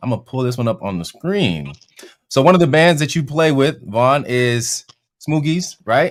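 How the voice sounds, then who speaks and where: With lively intonation and a fairly high pitch, a man talks at a moderate speed in an ordinary speaking voice. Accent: American. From California. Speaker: interviewer, online music course host. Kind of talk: live-streamed interview Q&A. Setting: live stream. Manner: casual, upbeat.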